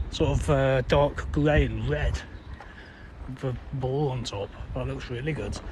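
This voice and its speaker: Noticeable background noise sits under the voice. A man speaks with a Yorkshire accent. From Yorkshire, England (near Leeds), born in London. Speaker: live-streamer. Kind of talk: casual live-stream walking commentary. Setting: outdoors walking in the city.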